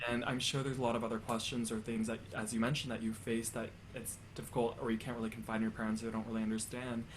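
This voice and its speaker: In a Canadian accent, a man at medium pitch rattles along very fast with hardly any pauses, flat and monotone. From Canada, Chinese immigrant family, near Guelph, Ontario. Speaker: tenor and podcast interviewer. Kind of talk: interview. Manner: halting, many repeated words.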